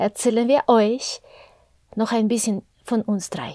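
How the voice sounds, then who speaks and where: With a Spanish accent, a woman speaks at a fairly slow pace in a fairly high-pitched, dark and mellow voice, the sound dry and close with no echo. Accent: Spanish-tinged German. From Mexico. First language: Spanish (speaking German). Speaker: podcast host, interviewer. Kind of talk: casual chat.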